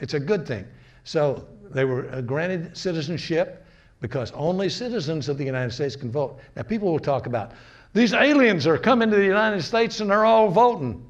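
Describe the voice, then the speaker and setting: In an American accent, a man talks at a fairly quick pace with a fairly high pitch and very wide pitch swings, with audible room echo around him. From US North. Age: 80s+. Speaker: lecturer. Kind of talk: lecture. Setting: community gathering, recorded on camera. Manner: halting.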